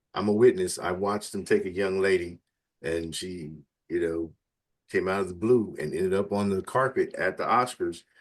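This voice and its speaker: Against a quiet background, the man keeps to a moderate pace. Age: 60s. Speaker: magazine editor and interview host. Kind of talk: casual interview. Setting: live session interview. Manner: animated.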